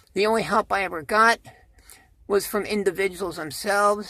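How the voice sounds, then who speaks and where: A woman at medium pitch and moderate pace, bright and sharp in tone, with vocal fry. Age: 60s. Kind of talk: casual talk to camera.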